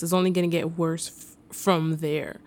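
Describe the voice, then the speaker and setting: On a very clean recording with a silent background, a woman speaks at a moderate pace in a New York accent. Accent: New York (Bronx). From New York City (the Bronx). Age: 20s. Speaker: podcast host. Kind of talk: casual monologue.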